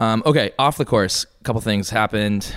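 In a very clean recording with a silent background, a man uses a normal speaking voice with a fairly low pitch, ordinary pitch variation, and a moderate pace. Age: 20s. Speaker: golf podcast co-host. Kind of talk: casual chat.

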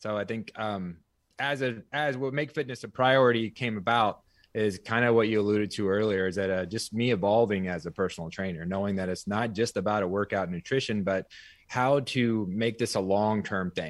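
A man speaks with an American accent at a fairly quick pace, in an unremarkable speaking voice with fairly low pitch. His pitch varies in an ordinary way, and the recording is very clean with a silent background. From US small town. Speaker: personal trainer and fitness studio owner. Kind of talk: interview.

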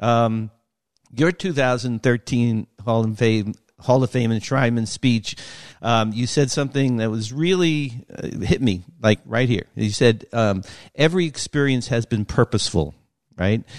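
Fairly slow and in an American accent, this is an ordinary speaking voice with ordinary pitch variation. The background is quiet, and the sound is dry and close with no echo. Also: man, medium pitch for a man. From New York. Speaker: sports podcast host. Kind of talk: interview.

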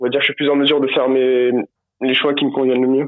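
The speaker is a man whose pitch sits in the medium range. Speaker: traveler. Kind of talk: casual chat. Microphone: patchy phone signal.

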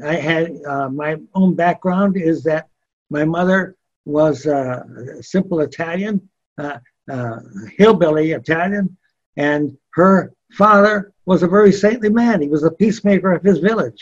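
Man with a high pitch, ordinary pitch variation, and a fairly slow pace. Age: 80s+. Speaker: missionary. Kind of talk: interview storytelling. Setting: radio studio.

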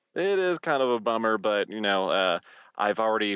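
This is a plain, everyday voice. It moves at a fairly slow pace. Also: man. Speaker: musician and podcast co-host. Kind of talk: casual chat. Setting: phone call from a car in a parking lot.

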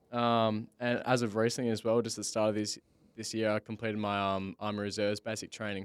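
Talking at a fairly quick pace in an Australian accent, a man at medium pitch is heard in a very clean recording with a silent background and a dry, close sound with no echo. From Western Australia, Bunbury. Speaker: podcast host. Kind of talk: casual chat. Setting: studio.

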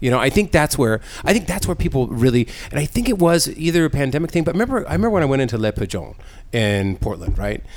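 The voice is loud and very fast, with vocal fry and very wide pitch swings. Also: man, fairly high pitch for a man. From San Diego. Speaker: podcast host. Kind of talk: casual chat. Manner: loud, animated.

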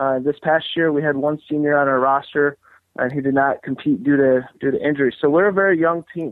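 A man uses a plain, everyday voice, fairly high in pitch. He talks at a moderate pace with fairly even intonation. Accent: American. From Battle Creek, Michigan, US. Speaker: college wrestling coach. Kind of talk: casual interview chat.

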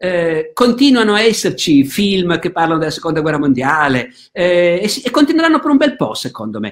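This man talks fairly quickly in a high voice, and his pitch swings very widely. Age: 60s. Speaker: historian. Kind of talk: interview. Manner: halting, many fillers.

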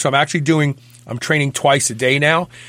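A normal speaking voice at a fairly quick pace, in a very clean recording with a silent background. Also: man. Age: 60s. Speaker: fitness radio host. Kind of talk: casual chat.

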